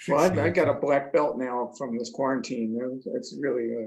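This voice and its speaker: With an American accent, a plain, everyday voice moves at a moderate pace with ordinary pitch variation. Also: man. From Trenton, New Jersey. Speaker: musician. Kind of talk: casual interview chat.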